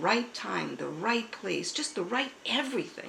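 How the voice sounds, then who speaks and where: A woman speaks at a fairly slow pace with very wide pitch swings. Audible room echo and noticeable background noise fill the recording. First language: American Sign Language. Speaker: pastor. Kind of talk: interview testimony.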